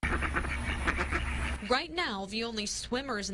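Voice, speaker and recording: A woman speaks over noticeable background noise. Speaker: TV news reporter. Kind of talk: TV news package narration.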